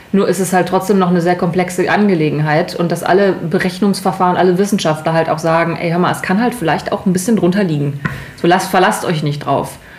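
Amid noticeable background noise and audible room echo, a woman talks at a very fast pace with a medium pitch, fairly even intonation and very even loudness. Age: 30s. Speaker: podcast co-host. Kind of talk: casual chat.

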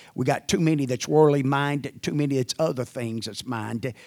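A man speaks fairly quickly in an ordinary speaking voice, fairly high in pitch with ordinary pitch variation. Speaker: church pastor. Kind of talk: church announcements and prayer. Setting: church.

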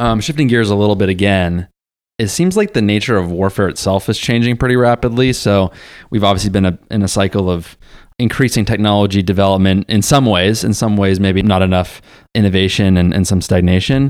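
A man speaks in a normal speaking voice at a fairly low pitch, fairly quick in pace, with fairly even intonation and very even loudness. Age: 30s. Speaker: podcast co-host. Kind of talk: casual interview.

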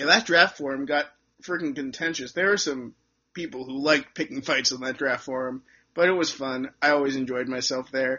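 A man talks at a fairly quick pace. His voice is fairly high in pitch. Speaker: podcast host. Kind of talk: casual chat. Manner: animated, informal.

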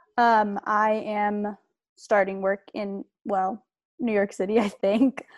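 In a very clean, dry, close recording with no echo and a silent background, a woman at medium pitch uses a plain, everyday voice with ordinary pitch variation. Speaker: college soccer player. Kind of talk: interview.

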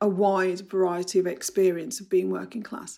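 This woman has a southeast English accent. Her pitch is medium and her intonation fairly even. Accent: Bromley, south-east English, short vowels. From Bromley, south London. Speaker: anthology editor and author. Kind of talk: interview.

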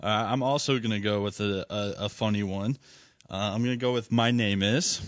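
Over a quiet background, a man in a normal speaking voice talks at a moderate pace and fairly low pitch, with fairly even intonation and very even loudness. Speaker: podcast co-host. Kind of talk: casual banter podcast. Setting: studio.

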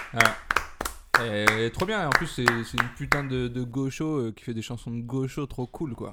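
Over noticeable background noise, a man at medium pitch talks at a fairly slow pace, with ordinary pitch variation and big swings in loudness. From Paris area (Asnières). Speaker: comedian. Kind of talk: casual chat.

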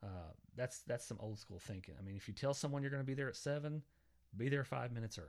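A man with an Oklahoma accent and a medium-pitched voice talks at a very fast pace with lively intonation. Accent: Oklahoma Southern US. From southwest Oklahoma, small town. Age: 40s. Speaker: podcast host. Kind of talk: casual solo monologue. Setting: home basement.

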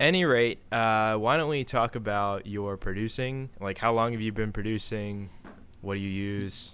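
A man with an American accent speaks in a normal speaking voice, fairly low in pitch, with ordinary pitch variation at a moderate pace. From US, Maryland. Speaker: podcast host and music producer. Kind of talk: casual chat.

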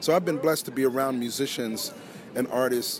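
Noticeable background noise sits behind a man's medium-pitched voice. He speaks at a moderate pace with lively intonation. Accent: American. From US, Philadelphia. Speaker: guitarist. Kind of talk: interview. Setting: poolside at a hotel.

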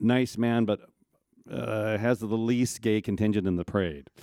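Fairly low in pitch, a man speaks in a dark, mellow tone. The sound is dry and close with no echo, on a very clean recording with a silent background. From Minneapolis. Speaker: audience member. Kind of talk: audience question.

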